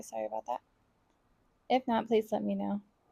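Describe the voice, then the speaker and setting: A woman speaks with lively intonation while music plays in the background. The sound is dry and close, with no echo. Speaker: planner vlogger. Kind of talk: casual voice-over while crafting. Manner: soft-spoken.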